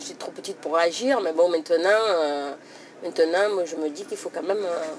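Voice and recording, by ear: A woman's fairly low pitch with a slightly mellow tone.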